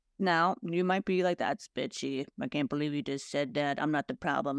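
The recording sounds dry and close, with no echo. A woman talks at a moderate pace. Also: very clean recording, silent background. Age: 50s. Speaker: podcast host. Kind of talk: solo monologue. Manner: animated.

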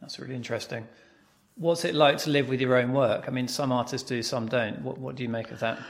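Talking at a very fast pace, a man with a British accent keeps a medium pitch and fairly even intonation while his loudness swings widely. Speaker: podcast host. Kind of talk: interview, conversational.

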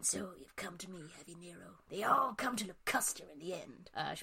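A put-on character voice, female-sounding, sits at a middle pitch. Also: moderate pace. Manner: knowing, ominous.

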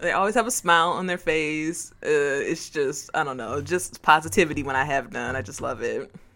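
Her very deep, low voice has a bright, sharp tone and lively intonation. The woman speaks at a moderate pace with hardly any pauses and big swings in loudness. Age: 30s. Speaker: podcast guest, Pokemon fan. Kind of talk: casual chat.

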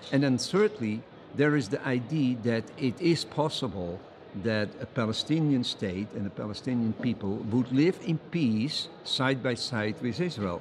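A man with a Dutch accent, medium pitch, lively intonation and a fairly slow pace, amid noticeable background noise. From Netherlands. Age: 70s. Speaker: think tank co-founder, international law advocate. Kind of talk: interview. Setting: at a conference.

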